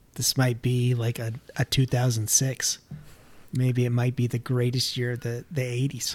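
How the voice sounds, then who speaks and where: The man's voice carries a somewhat breathy quality. His intonation is monotone and flat. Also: medium pitch for a man, moderate pace. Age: 30s. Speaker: podcast co-host. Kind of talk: casual chat.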